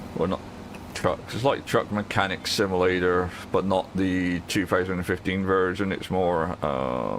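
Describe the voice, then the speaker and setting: Against noticeable background noise, the speech moves at a fairly slow pace with ordinary pitch variation. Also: man, very deep, low pitch for a man. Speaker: gaming streamer. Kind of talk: live gameplay stream chat. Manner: loud.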